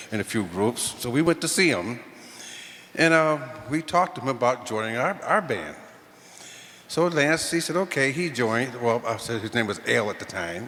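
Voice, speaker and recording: Speaking at a moderate pace with lively intonation, a man with a medium-pitched voice and an American accent leaves long, frequent pauses against noticeable background noise. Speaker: musician. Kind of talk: tribute speech. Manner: halting.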